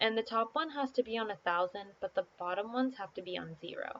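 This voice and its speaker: A woman uses an ordinary speaking voice at a fairly high pitch. She moves at a fairly quick pace with lively intonation. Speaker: gaming tutorial creator. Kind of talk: tutorial. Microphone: poor backup mic, main microphone not working.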